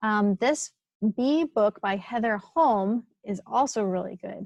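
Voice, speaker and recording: A plain, everyday voice with ordinary pitch variation comes through with a dry, close sound and no echo. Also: woman. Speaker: naturalist. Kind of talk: webinar presentation. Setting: webinar.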